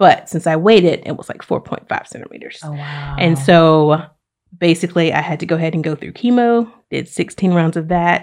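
Speaking at a moderate pace with a Southern US accent, a woman uses a fairly low pitch, ordinary pitch variation and big swings in loudness. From Alabama (Oxford). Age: 30s. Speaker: university diversity administrator, cancer survivor. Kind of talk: casual interview chat, personal story.

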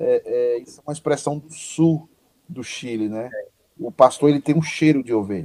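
A man with a dark, mellow tone and a fairly high pitch speaks at a moderate pace with ordinary pitch variation and big swings in loudness, the sound dry and close with no echo. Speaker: pastor and online show host. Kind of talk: casual chat. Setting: video call. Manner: animated.

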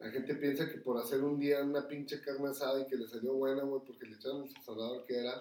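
The voice has a Mexican accent and a dark, mellow tone. It moves at a fairly quick pace with monotone, flat intonation. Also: man. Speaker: restaurant owner. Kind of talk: casual chat.

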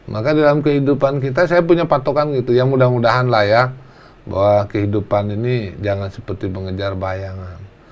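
A man's unremarkable speaking voice at medium pitch, fairly quick in pace with lively intonation. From Indonesia, Lampung. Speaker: politician, member of national parliament. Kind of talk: interview talk show.

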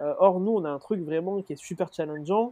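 Speaking at a fairly quick pace, a man with a southern French accent has a high voice. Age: 20s. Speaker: student entrepreneur. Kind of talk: casual chat. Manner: halting.

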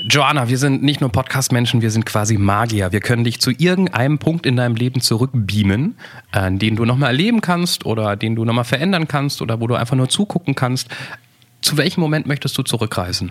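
This man has a plain, everyday voice at a medium pitch with lively intonation. He talks at a fairly quick pace with very even loudness. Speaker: podcast host. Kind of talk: casual chat.

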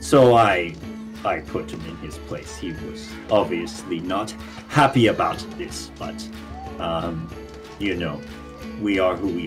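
A man puts on a character voice with a very deep, low pitch at a fairly slow pace. Music plays clearly in the background. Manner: warm, theatrical, hesitant with many pauses.

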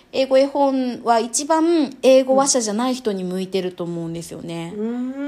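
A woman speaks high-pitched at a moderate pace with hardly any pauses, lively intonation, and big swings in loudness. Noticeable background noise runs underneath. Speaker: wedding MC and picture-book specialist. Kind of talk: casual interview.

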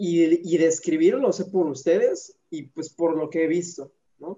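This man speaks with a high pitch. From Mexico. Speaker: actor. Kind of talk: casual chat.

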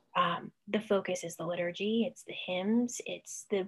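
A woman talks at a moderate pace with medium pitch and ordinary pitch variation. Her voice is somewhat breathy. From Ohio, Cleveland suburbs. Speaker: author and freelance writer. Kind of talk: casual interview.

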